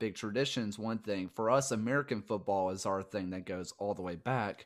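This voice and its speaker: Over a quiet background, a man with a strong Southern US accent speaks in a fairly low pitch with ordinary pitch variation. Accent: thick Southern US. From US South. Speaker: podcast host. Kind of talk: casual interview chat. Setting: recorded video call.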